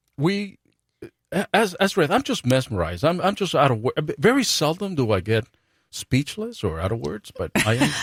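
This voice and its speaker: A man's voice with vocal fry and very wide pitch swings, dry and close with no echo, on a very clean recording against a silent background. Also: fairly high pitch for a man, moderate pace. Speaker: radio show host. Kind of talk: casual banter on live radio show. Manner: halting, stuttering.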